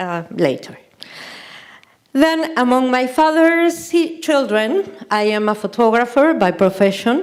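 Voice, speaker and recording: Speaking with a non-native accent, a woman talks at a fairly slow pace with a high pitch and very wide pitch swings. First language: Spanish. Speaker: artist and photographer. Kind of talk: lecture. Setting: stage with audience. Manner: halting.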